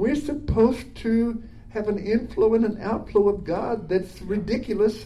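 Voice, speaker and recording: A man's high-pitched voice with fairly even intonation, set against noticeable background noise. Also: fairly slow pace. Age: 80s. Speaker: minister. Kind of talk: casual conversation with prayer.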